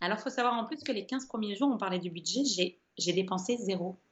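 A woman speaks at a moderate pace, somewhat breathy. Her pitch varies in an ordinary way. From northern France, Nord. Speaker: long-distance walker and traveller. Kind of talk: interview. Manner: halting, many hesitations.

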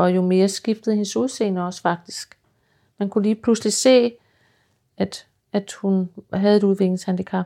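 On a very clean recording with a silent background, a woman speaks at a moderate pace and a medium pitch, her intonation fairly even, with long, frequent pauses. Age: 50s. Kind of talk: interview.

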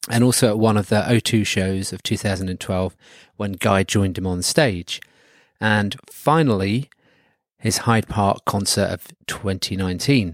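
With a southern English accent, a man speaks at a fairly slow pace and a fairly low pitch. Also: ordinary pitch variation, dry, close sound with no echo, very clean recording, silent background. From southern England. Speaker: podcast host. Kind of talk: casual chat.

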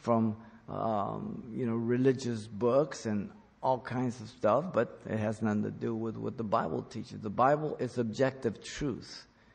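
A man with a plain, everyday voice speaks at a fairly slow pace. His pitch is medium, with ordinary pitch variation. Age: 60s. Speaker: pastor. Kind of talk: sermon. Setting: church, also broadcast on radio and internet.

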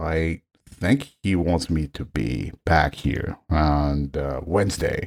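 A man speaks with a Japanese accent in a very deep, low voice. His pitch variation is ordinary. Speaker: orchestral trombonist. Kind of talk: casual interview. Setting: video call. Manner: halting, many fillers; animated, laughs often.

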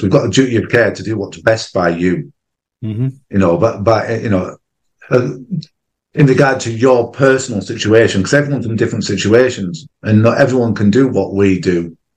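A man with a northern English accent at a fairly quick pace. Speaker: gold dealer. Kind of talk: casual chat.

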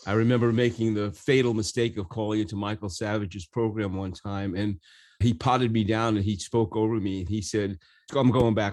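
A man with an American accent speaks in a normal speaking voice at a fairly low pitch, with ordinary pitch variation, against a quiet background. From New York City. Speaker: podcast host. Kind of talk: casual interview.

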